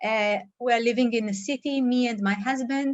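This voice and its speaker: Speaking with a non-native accent, a woman keeps a fairly high pitch, fairly even intonation and a moderate pace. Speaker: startup CEO. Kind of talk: startup presentation. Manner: halting, many fillers.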